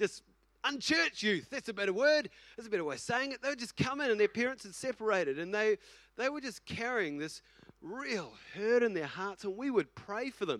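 Fairly quick and high-pitched, this man talks with a New Zealand accent and lively intonation. The sound is dry and close, with no echo. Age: 40s. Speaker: senior pastor. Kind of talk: casual, conversational Sunday sermon. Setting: church service. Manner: animated, repetitive, filler-laden.

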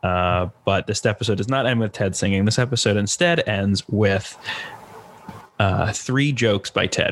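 Against noticeable background noise, a man with a fairly low pitch talks at a moderate pace with ordinary pitch variation. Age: 20s. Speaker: comedian and podcast host. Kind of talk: casual interview chat.

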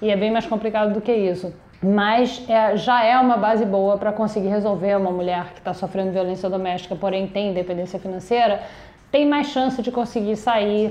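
A woman speaks in an ordinary speaking voice with a medium pitch. Her intonation is fairly even, and her pace is moderate. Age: 50s. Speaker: podcast host and simultaneous interpreter. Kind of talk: interview. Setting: production company office.

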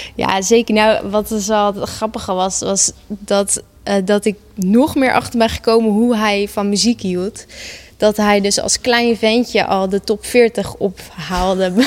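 A woman at medium pitch, very slow pace and fairly even intonation. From Netherlands, Gouda. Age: 20s. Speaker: psychomotor therapist and author. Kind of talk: interview about personal loss.

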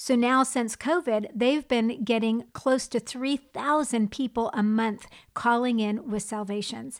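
A woman with an American accent and a plain, everyday voice, fairly high in pitch, at a fairly slow pace with ordinary pitch variation, on a very clean recording with a silent background. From United States. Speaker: podcast co-host and TV presenter. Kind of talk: casual chat.

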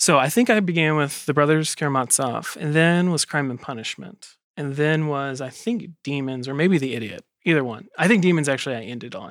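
With an American accent and a plain, everyday voice, a man speaks at a fairly quick pace with hardly any pauses, his fairly high pitch carrying lively intonation in a very clean recording with a silent background. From South Carolina. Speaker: editor. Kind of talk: casual group discussion.

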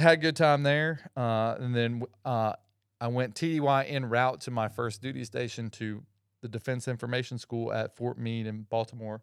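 On a very clean recording with a silent background, a man with an ordinary speaking voice talks at a medium pitch and moderate pace, with fairly even intonation. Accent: American. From Georgia (Atlanta area), US South. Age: 40s. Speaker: Air Force veteran. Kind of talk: casual chat.

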